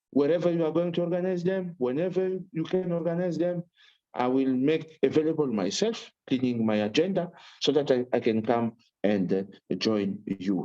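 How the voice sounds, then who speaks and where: A man with a French accent, fairly high-pitched yet dark and mellow in tone, with lively intonation and a moderate pace. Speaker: human rights commissioner. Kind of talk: panel speech. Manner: halting, many repetitions.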